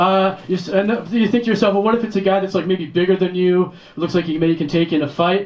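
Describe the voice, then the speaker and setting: Over noticeable background noise, a man with an American accent speaks at a high pitch. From Detroit, US Midwest. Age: 40s. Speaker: stand-up comedian. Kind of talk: stand-up.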